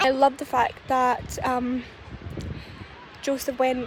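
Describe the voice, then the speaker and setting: A high-pitched woman's voice comes through noticeable background noise. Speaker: movie reviewer. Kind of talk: casual talk to camera. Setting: outdoors. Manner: quiet, soft-spoken.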